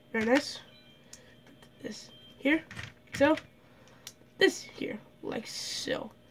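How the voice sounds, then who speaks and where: Over music in the background, the speaker goes at a very slow pace with long, frequent pauses, ordinary pitch variation and big swings in loudness. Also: woman, high pitch for a woman. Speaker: LEGO builder. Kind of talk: casual building tutorial narration.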